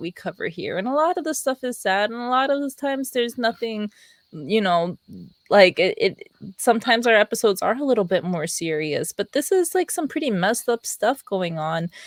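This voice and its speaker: A woman's high-pitched voice with an American accent, quiet and dry and close with no echo, moving at a moderate pace through very wide pitch swings. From Pennsylvania, US. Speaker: podcast co-host. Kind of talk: casual chat. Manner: giggly, hesitant with filler words.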